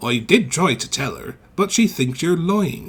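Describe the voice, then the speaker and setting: A man does a put-on character voice at a moderate pace. His pitch is high. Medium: read story. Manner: polite, warm.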